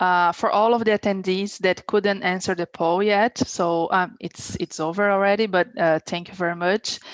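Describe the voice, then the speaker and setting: In a Portuguese accent, a woman speaks at a medium pitch and a moderate pace with fairly even intonation, her sound dry and close with no echo against a quiet background. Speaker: webinar moderator. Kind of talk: webinar Q&A.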